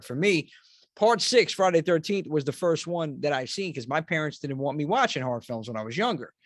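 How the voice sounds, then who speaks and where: An unremarkable speaking voice with an American accent runs at a fairly quick pace with lively intonation. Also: man, quiet background. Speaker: horror podcast host. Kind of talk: casual interview chat.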